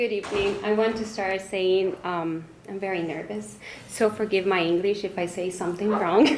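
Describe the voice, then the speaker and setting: With a Spanish accent, a woman speaks at medium pitch and a moderate pace with fairly even intonation, amid audible room echo and noticeable background noise. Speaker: school director and psychologist. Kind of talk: speech. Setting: fundraising banquet with audience.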